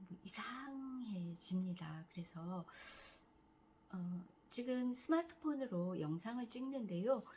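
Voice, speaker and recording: Very slow, somewhat breathy speech in a dark, mellow tone, with very wide pitch swings. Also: woman, fairly high pitch for a woman. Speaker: cancer patient vlogger. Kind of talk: casual vlog talk.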